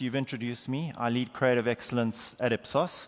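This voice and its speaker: In a South African accent, the speaker talks at a very fast pace with fairly even intonation. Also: man. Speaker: market research executive, conference speaker. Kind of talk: conference keynote. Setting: stage with audience.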